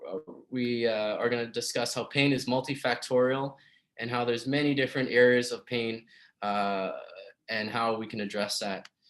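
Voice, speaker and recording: The man's voice sits at a medium pitch, his intonation fairly even. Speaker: physiotherapist. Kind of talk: webinar presentation. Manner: fast.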